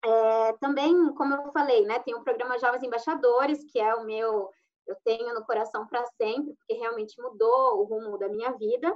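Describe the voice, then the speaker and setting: A woman speaks with a high pitch. Her pitch varies an ordinary amount. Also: moderate pace. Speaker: lawyer and former exchange student. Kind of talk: live stream panel talk.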